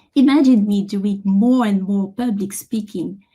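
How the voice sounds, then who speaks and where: A woman's somewhat breathy voice with a French accent, a dark, mellow tone, ordinary pitch variation and a fairly slow pace. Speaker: software engineer and conference keynote speaker. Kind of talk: conference keynote talk.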